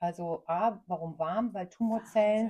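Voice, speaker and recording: A woman's somewhat breathy voice with a dark, mellow tone, at a fairly slow pace, with ordinary pitch variation. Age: 40s. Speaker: cancer survivor. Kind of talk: interview.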